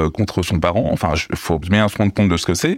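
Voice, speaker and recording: Man speaking at a moderate pace, dry and close with no echo, on a very clean recording with a silent background. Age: 40s. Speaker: abuse survivor and activist. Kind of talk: testimony. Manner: halting.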